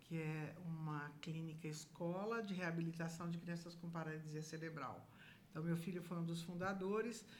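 A woman speaks at a fairly low pitch, somewhat breathy. Her pace is moderate. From Brazil, São Paulo. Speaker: businesswoman, association council member. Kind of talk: casual interview. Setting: studio.

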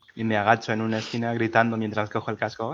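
The man speaks at a medium pitch. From Peru, Lima. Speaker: podcast co-host. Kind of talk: casual chat.

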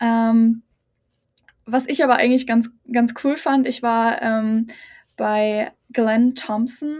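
The very clean recording has a silent background. A woman with a fairly high pitch speaks very slowly, with fairly even intonation. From Lower Franconia, Bavaria (near Aschaffenburg). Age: 20s. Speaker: exchange program participant, trained media clerk. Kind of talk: casual interview.

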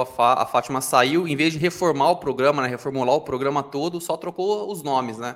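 A man with an ordinary speaking voice, a fairly high pitch, ordinary pitch variation and a moderate pace. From Brazil. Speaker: TV news podcast co-host. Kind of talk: casual chat. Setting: live stream.

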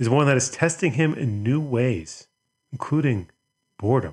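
At a medium pitch and moderate pace, a man sounds somewhat breathy on a very clean recording with a silent background. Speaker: podcast host. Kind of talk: scripted intro and ad read.

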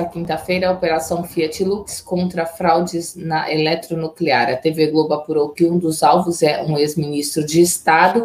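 A woman's fairly low-pitched voice with fairly even intonation, over noticeable background noise. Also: hardly any pauses. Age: 40s. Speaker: journalist, news co-anchor. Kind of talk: news reading.

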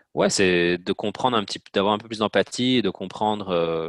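A man's fairly low voice at a moderate pace, fairly even in intonation, in a very clean recording with a silent background and a dry, close sound with no echo. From Belgium, Namur province. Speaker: marketing specialist. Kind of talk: interview. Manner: hesitant, many fillers.

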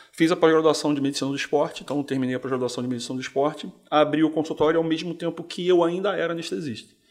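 A man at a very fast pace, hardly any pauses, ordinary pitch variation. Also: fairly high pitch for a man. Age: 40s. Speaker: physician. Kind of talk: casual interview. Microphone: too far from the mic.

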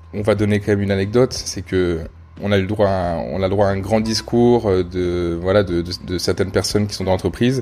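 Keeping a moderate pace, a man speaks in a very deep, low pitch with fairly even intonation. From France, Rhône-Alpes. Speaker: podcast host. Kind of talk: casual chat. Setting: at guest's home. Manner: hesitant, many fillers.

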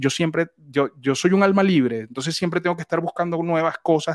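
On a very clean recording with a silent background and a dry, close sound with no echo, a man talks at a high pitch with lively intonation. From Venezuela. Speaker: voice actor and announcer. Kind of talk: interview. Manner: halting, repeats words.

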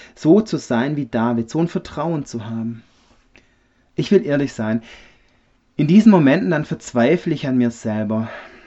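This man talks at a fairly slow pace and a fairly high pitch, with lively intonation and long, frequent pauses. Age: 30s. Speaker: refrigeration technician, church member. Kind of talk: personal faith testimony.

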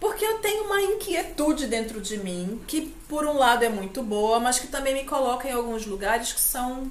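In a high voice with very wide pitch swings, a woman speaks at a moderate pace with hardly any pauses, against audible room echo and noticeable background noise. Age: 50. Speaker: journalist and university lecturer, activist. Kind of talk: casual chat. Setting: at home.

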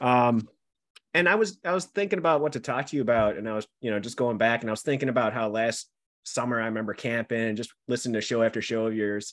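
On a very clean recording with a silent background, a man with a Buffalo accent speaks at a very fast pace, medium pitch and ordinary pitch variation. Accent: Buffalo accent, western New York. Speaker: podcast host. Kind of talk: casual interview chat.

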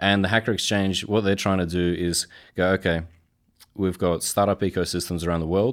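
A man with an Australian accent speaks at a fairly quick pace in a very deep, low pitch, monotone and flat. His loudness stays very even on a very clean recording with a silent background. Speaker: supply chain professional. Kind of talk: interview.

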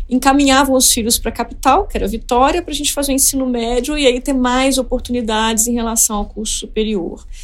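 There is noticeable background noise behind a woman speaking at a high pitch. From Espírito Santo, Brazil (Colatina). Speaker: economist, former treasury official. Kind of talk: interview.

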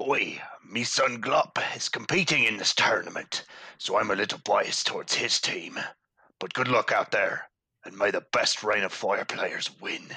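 A man puts on a character voice, speaking at a moderate pace. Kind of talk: pirate-like sailor talk. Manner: hearty, jovial.

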